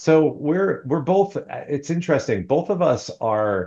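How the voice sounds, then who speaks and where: A man with an American accent speaks at a fairly high pitch, with a dark, mellow tone. His intonation is lively, and the background is quiet. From US Northeast (New Jersey/New York). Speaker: divorce mediator and author. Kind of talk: podcast interview.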